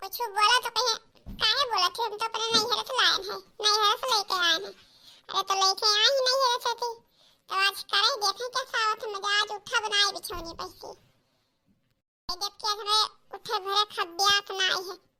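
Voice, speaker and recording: This female-sounding voice is a cartoonish character voice with extremely high pitch, delivered at a moderate pace. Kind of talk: comic cartoon voice acting. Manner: chatty, complaining.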